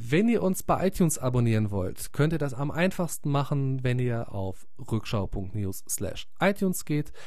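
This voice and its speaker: A breathy-ish man with a fairly high pitch and very wide pitch swings, speaking at a fairly slow pace amid audible room echo. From Munich, Bavaria. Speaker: podcast host, former radio newsreader. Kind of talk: podcast intro.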